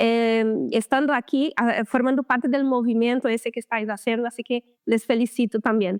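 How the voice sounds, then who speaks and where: A woman's high voice, fairly even in intonation, at a moderate pace, with a dry, close sound free of echo and a quiet background. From Brazil. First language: Portuguese (speaking Spanish). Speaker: lymphatic therapist. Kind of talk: interview.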